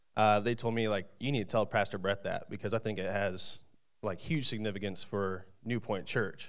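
A man talks at a fairly quick pace. The background stays quiet. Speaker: church member. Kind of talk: testimony. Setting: church. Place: church. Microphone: handheld.

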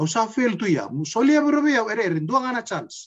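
A man with a high voice speaks at a fairly quick pace, his pitch swinging very widely. The background is quiet. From Fiji, Macuata province; Fiji. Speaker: interviewee. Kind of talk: casual chat. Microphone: video call.

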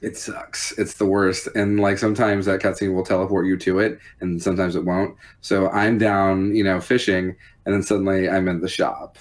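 The voice moves at a fairly quick pace in a monotone with flat intonation. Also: man, fairly low pitch for a man. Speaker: podcast guest. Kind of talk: casual conversation about a video game. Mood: cheerful, amused. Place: home room.

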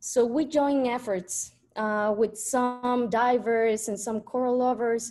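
A woman with a Spanish accent, fairly high-pitched and dark, mellow in tone, very slow, with fairly even intonation against a quiet background. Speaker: industrial designer and coral conservationist. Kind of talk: presentation. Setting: video call.

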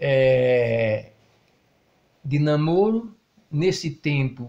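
Somewhat breathy, a man's fairly high voice moves with lively intonation. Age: 70s. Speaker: retired truck driver. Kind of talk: interview. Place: home room. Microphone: handheld.

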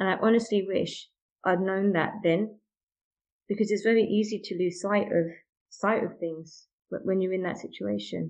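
A woman speaks with a British accent at a moderate pace. Her intonation is monotone and flat. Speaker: mother sharing miscarriage story. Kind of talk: interview testimony.

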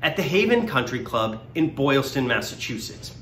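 Light background noise and audible room echo accompany a man whose upbeat tone comes with very wide pitch swings. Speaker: benefit auctioneer. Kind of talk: promotional video read inviting people to a fundraising event. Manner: friendly, upbeat.

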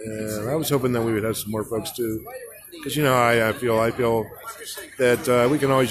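With fairly even intonation, a man keeps a moderate pace against noticeable background noise. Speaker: livestreamer and activist. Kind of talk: casual livestream commentary. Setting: outdoors at protest, streaming live.

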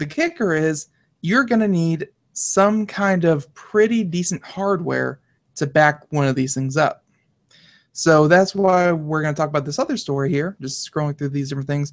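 The background stays quiet. A man delivers his words at a moderate pace. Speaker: co-host. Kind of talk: casual tech news discussion. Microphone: headset.

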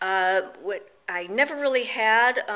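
The tone is bright and sharp. It belongs to a woman. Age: 50s. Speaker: cosmetic surgery patient. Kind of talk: video testimonial. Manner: halting, many fillers. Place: home room. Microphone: phone near.

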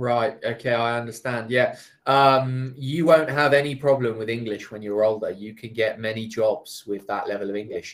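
A man speaks at a moderate pace with hardly any pauses, fairly even intonation and big swings in loudness over a quiet background. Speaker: online English tutor. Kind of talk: casual chat. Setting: video call. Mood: friendly, amused. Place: home room. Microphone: video call.

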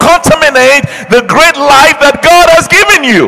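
Against a quiet background, a man speaks in a raised, projected voice at a fairly slow pace. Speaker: pastor. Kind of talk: sermon. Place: church. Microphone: handheld.

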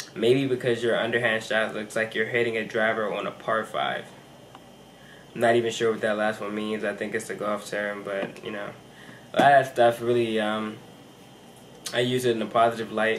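A man talks at a moderate pace in a monotone, with flat intonation. Long, frequent pauses break it up, with light background noise. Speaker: college athlete vlogger. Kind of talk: casual vlog chat. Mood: calm, a little nervous. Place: home room. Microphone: camera far.

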